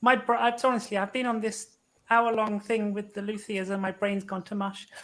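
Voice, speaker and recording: A woman with a British accent speaks at a moderate pace and fairly high pitch, her intonation monotone and flat. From UK. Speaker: luthier. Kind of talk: casual chat.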